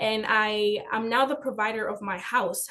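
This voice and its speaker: A woman's fairly high voice with ordinary pitch variation and a Spanish accent. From Dominican Republic. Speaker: finance educator and business owner. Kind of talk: webinar presentation.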